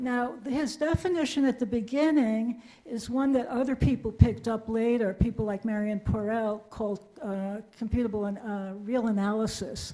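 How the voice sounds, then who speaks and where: At a moderate pace, a woman talks in a fairly high pitch with ordinary pitch variation. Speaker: audience member asking question. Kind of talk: audience question in Q&A. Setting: lecture hall with audience.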